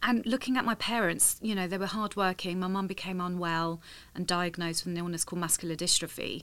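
Very fast and fairly even in intonation, a woman with a London accent speaks at a medium pitch on a very clean recording with a silent background. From London, England. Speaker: tech industry professional. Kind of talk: interview.

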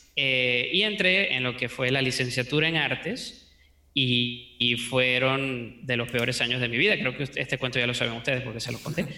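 Speaking at a moderate pace, a man keeps a medium pitch with ordinary pitch variation. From Venezuela. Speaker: 3D modeling teacher. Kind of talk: interview.

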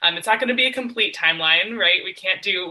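Amid noticeable background noise, a woman talks very fast with lively intonation. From Western Massachusetts. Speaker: moderator, PhD student. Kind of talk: moderated panel discussion.

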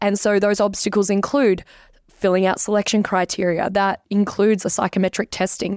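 A woman's monotone, flat voice with an Australian accent, very even loudness, and a dry, close sound with no echo. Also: medium pitch for a woman. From Canberra, Australia. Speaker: social media creator. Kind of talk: casual interview.

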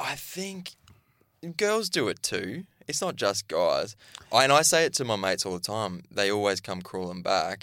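With an Australian accent, a man talks in a bright, sharp tone, his pitch swinging very widely. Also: medium pitch for a man, moderate pace. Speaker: podcast co-host, reality TV contestant. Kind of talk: casual chat. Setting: studio.

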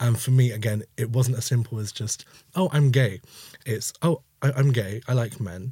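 A man speaks with a London accent at medium pitch and a moderate pace. His tone is dark, mellow and somewhat breathy, with ordinary pitch variation. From East London. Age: 20s. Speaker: community member. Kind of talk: casual chat.

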